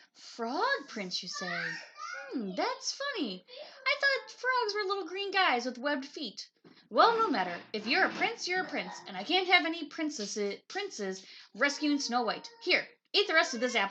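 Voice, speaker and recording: Putting on a croaky character voice, a woman speaks at a moderate pace and high pitch, her pitch swinging very widely. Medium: read story.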